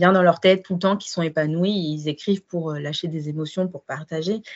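At a fairly slow pace, a woman talks in a normal speaking voice with a fairly low pitch. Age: 20s. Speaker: midwife and book blogger. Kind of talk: interview testimony.

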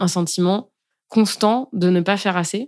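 A woman speaks at a medium pitch with ordinary pitch variation in a normal speaking voice. The recording is very clean, with a silent background. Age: 30s. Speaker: breastfeeding pumping coach. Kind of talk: interview.

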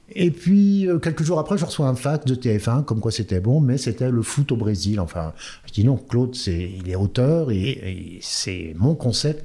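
A man speaks at a fairly slow pace and a medium pitch, his voice somewhat breathy. His tone is dark and mellow, with very wide pitch swings. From France, Orléans. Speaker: football coach. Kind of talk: interview.

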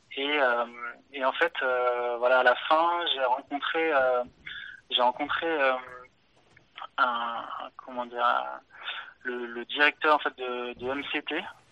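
With noticeable background noise, the speaker goes at a very slow pace, leaving long, frequent pauses and keeping the intonation fairly even. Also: man, medium pitch for a man. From France, Auvergne countryside near Clermont-Ferrand. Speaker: watch development engineer. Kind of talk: casual interview. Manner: halting, many repetitions.

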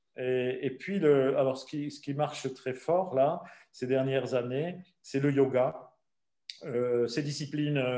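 Dark and mellow in tone, a man speaks at medium pitch. He goes at a very slow pace with fairly even intonation. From southern France. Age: 60s. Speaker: travel company founder. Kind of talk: interview. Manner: halting.

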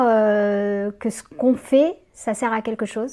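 A woman's fairly high voice, very slow in pace, with fairly even intonation. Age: 40s. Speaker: community manager and freelance writer. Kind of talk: interview. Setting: in person with host. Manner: hesitant, many fillers.

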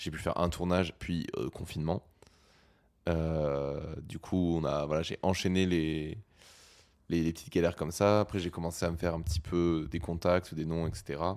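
A man speaks in a very deep, low pitch and a flat monotone. His pace is fairly slow, with long, frequent pauses. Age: 20s. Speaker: audiovisual technician and entrepreneur. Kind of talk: casual interview.

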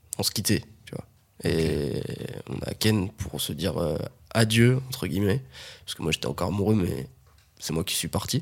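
A man's fairly low voice with vocal fry, very wide pitch swings and long, frequent pauses. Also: moderate pace. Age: 20s. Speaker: podcast guest. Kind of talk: casual chat.

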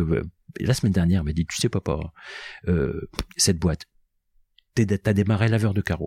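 Over a silent background on a very clean recording, a man with a fairly low pitch and a dark, mellow tone speaks at a moderate pace with long, frequent pauses, the sound dry and close with no echo. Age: 60s. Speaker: company founder. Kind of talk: interview.

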